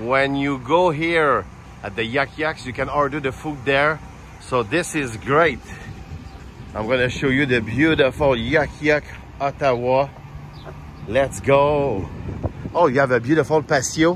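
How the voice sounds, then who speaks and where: There is noticeable background noise as a man with a fairly high pitch speaks at a fairly slow pace, using ordinary pitch variation and long, frequent pauses. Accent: Quebec French. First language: French. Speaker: stand-up comedian. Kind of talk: casual vlog talk to camera. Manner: upbeat, excited.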